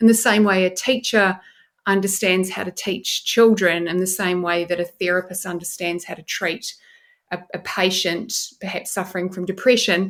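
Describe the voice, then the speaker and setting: In a New Zealand accent, the speaker keeps a moderate pace and fairly even intonation while the loudness swings widely. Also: woman, medium pitch for a woman. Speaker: neuroscientist. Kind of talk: podcast interview.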